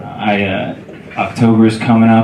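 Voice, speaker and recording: Over noticeable background noise, a man speaks at a fairly low pitch with an American accent. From Southern California. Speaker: standup comedian. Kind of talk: standup comedy set in front of a live club audience. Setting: comedy club.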